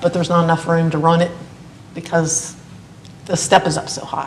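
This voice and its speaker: Fairly quick, monotone, flat speech from a woman with a fairly low pitch, over noticeable background noise. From Morgantown, West Virginia. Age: 60s. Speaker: retired teacher and coach, resident applicant. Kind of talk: public hearing testimony. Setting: municipal board meeting.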